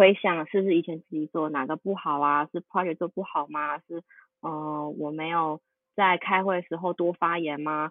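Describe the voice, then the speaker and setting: A woman's fairly low voice in a Taiwanese accent, monotone and flat in intonation, at a moderate pace. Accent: Taiwanese Mandarin. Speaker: UI designer. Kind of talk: interview conversation.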